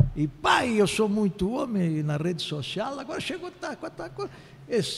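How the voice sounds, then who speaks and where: A man's pitch swings very widely as he talks at a moderate pace through noticeable background noise. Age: 60s. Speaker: political consultant and sociologist. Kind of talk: interview. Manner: halting.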